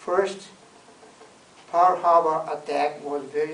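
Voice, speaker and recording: A man at a very slow pace with monotone, flat intonation, amid audible room echo and noticeable background noise. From Japan, Hiroshima. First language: Japanese. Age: 80s+. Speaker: war survivor. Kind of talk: testimony. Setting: talk to a visiting delegation. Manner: halting.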